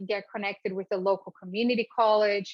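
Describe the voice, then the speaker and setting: A woman speaks with a Portuguese accent at a medium pitch. Her intonation is monotone and flat. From Brazil. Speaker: entrepreneur. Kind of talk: speaker series talk.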